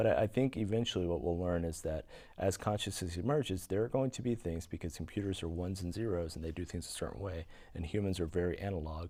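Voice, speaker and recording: A man speaks very fast in a very deep, low voice. His tone is dark and mellow, with ordinary pitch variation. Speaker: science fiction author. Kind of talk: interview. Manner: halting.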